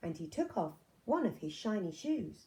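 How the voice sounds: A woman with a dark, mellow tone speaks with big pitch swings. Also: medium pitch for a woman, moderate pace.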